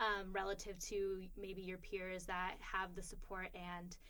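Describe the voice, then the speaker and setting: A woman speaks in a medium pitch with audible room echo. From immigrant, grew up partly abroad then US. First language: not English. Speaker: podcast co-host, graduate policy student. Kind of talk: casual conversation. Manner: hesitant, many filler ums.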